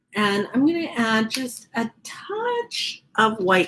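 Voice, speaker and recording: In an American accent, a woman with a fairly high pitch speaks in very wide pitch swings. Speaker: art instructor. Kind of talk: tutorial. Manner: casual, chatty.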